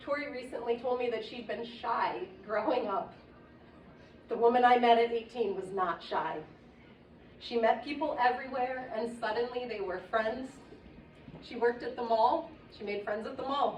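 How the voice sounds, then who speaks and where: Moderate pacing broken by long, frequent pauses, with ordinary pitch variation, big swings in loudness and audible room echo. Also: woman, high pitch for a woman. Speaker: friend of the deceased giving a eulogy. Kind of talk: eulogy. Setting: memorial service. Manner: stammering.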